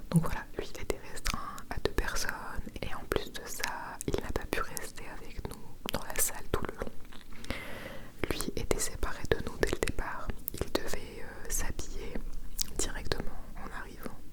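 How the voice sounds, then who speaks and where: A woman whispering at a fairly slow pace, with long, frequent pauses and noticeable background noise. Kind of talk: ASMR whispered chat to camera. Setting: studio microphone recording. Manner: whispered, soft.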